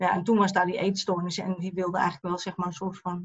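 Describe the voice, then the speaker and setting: A woman talks at a fairly quick pace in a somewhat breathy voice of medium pitch. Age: 50s. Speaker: eating disorder therapist. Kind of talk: personal testimony interview.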